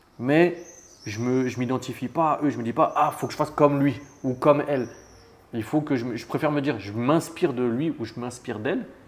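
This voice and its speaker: With ordinary pitch variation, a plain, everyday voice talks at a fairly quick pace. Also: man, medium pitch for a man. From France, Annemasse near Geneva. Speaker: real estate investor. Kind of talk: interview. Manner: casual.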